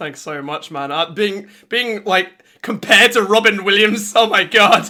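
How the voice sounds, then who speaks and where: In an English accent, a man talks in a raised, projected voice with an energetic, animated tone, high pitch, fairly slow pace and big swings in loudness. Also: ordinary pitch variation. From England. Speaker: video game streamer. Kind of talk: casual chat.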